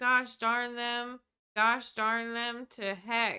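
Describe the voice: A woman does a put-on character voice in a Southern US accent, high-pitched and monotone with flat intonation, at a very slow pace in a dry, close sound with no echo. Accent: southern American.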